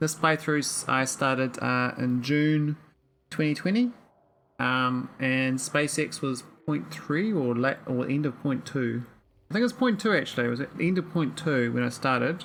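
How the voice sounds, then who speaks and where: Speech moves at a moderate pace in a New Zealand accent. The recording is very clean, with a silent background. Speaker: gaming streamer. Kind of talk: casual livestream gameplay commentary. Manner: slurred words.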